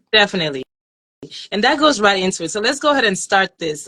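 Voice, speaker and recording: A woman talks very fast in a bright, sharp tone. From Nigeria. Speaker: life coach and talk show host. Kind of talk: casual chat.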